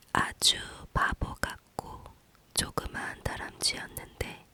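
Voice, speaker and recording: A whisper unfolds at a very slow pace through noticeable background noise. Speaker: ASMR reader. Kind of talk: whispered bedtime book reading. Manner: whispered.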